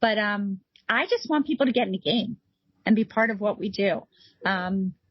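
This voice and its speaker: A woman speaks at a moderate pace in a fairly high, somewhat breathy voice. Her pitch variation is ordinary. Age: 50s. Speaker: nonprofit founder. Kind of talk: interview conversation. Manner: animated.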